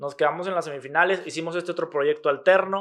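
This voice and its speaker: At a very fast pace, a man speaks in a fairly high pitch with fairly even intonation. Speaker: podcast host. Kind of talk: casual chat.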